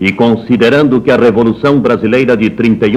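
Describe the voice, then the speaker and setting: At a moderate pace, a man talks in an unremarkable speaking voice with medium pitch and ordinary pitch variation. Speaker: radio announcer. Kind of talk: official government radio broadcast read. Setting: 1960s radio broadcast recording.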